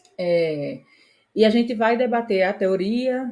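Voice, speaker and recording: A woman speaks at medium pitch in a dark, mellow tone with ordinary pitch variation. The recording is very clean, with a silent background. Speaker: exam prep teacher. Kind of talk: lecture.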